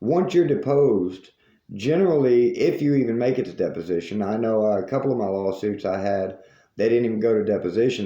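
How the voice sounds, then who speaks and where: With a Southern US accent, a man talks at a fairly quick pace in a medium-pitched, dark, mellow voice with lively intonation, and the room echo is audible. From US South. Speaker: news commentary host. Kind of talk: monologue commentary.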